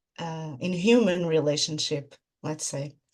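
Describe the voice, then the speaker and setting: A woman's pitch sits fairly low. It varies an ordinary amount. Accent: Portuguese. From Portugal. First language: Portuguese. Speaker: clinical psychologist. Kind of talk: interview. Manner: halting.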